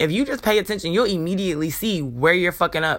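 Speaking very fast with lively intonation, a woman with a fairly low voice comes through on a very clean recording with a silent background. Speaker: spiritual podcast host, self-described healer. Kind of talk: spiritual monologue. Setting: home recording, morning. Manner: casual, conversational.

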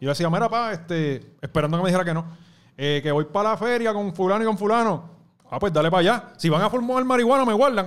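A man's high-pitched, very fast speech with a Puerto Rican accent. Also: lively intonation. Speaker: youtuber and former radio host. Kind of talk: casual chat.

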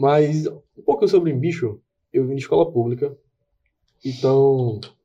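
A man's fairly high voice comes through somewhat breathy, with a dark, mellow tone. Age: 20s. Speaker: podcast co-host, graphic designer. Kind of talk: casual chat. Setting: studio.

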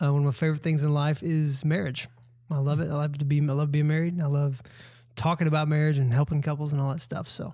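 A man with a Southern US accent speaks very fast at a fairly high pitch, his tone dark and mellow, somewhat breathy and flatly monotone, in a very clean recording with a silent background. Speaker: campus pastor. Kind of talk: casual chat.

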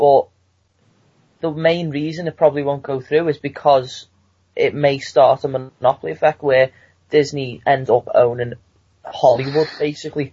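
Pausing long and often, a man with a British accent speaks in a fairly high, somewhat breathy voice with monotone, flat intonation. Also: moderate pace. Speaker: student. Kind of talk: casual chat.

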